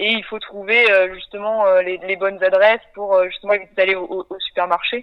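The woman's voice sits at a medium pitch with monotone, flat intonation. She keeps a moderate pace. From western France (Nantes). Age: 20s. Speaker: sailor and ocean conservation project founder. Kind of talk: interview.

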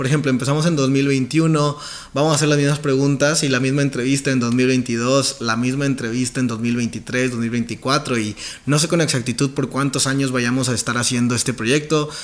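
A man with a fairly high pitch delivers his words at a moderate pace. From Mexico, Nuevo León. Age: 20s. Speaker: podcast host, network marketing entrepreneur. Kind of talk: self-interview podcast monologue.

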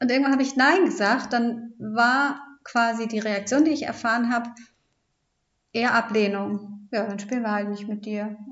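A woman with an ordinary speaking voice talks at a moderate pace, with fairly high pitch and ordinary pitch variation. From Hamburg, northern Germany. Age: 30s. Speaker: podcast co-host, mother and family coach. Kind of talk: casual interview about her life story.

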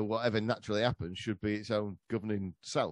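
A man with an English accent talks at a fairly quick pace in a fairly low pitch, the sound dry and close with no echo. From England. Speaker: history podcaster. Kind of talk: casual chat.

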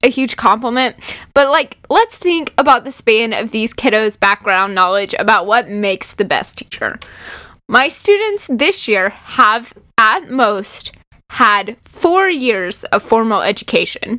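A woman with a plain, everyday voice, fairly high in pitch, with lively intonation and a fairly slow pace. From Oklahoma (Lawton). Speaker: teacher and podcast co-host. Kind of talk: casual chat.

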